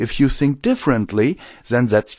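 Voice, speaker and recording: In a very clean recording with a silent background, a man with a German accent speaks at a medium pitch. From Germany. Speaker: audiobook narrator. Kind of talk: casual commentary. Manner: halting.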